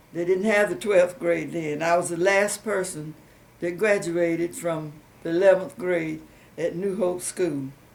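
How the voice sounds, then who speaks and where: A woman with a fairly low pitch, a fairly slow pace, fairly even intonation and a Southern US accent. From US South, Rutherford County, North Carolina. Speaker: oral history interviewee. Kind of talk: oral history interview. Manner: halting, many fillers.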